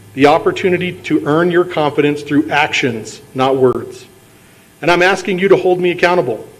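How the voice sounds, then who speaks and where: Against noticeable background noise, a man with a high pitch and ordinary pitch variation talks at a moderate pace. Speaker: political candidate. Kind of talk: campaign speech. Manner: formal.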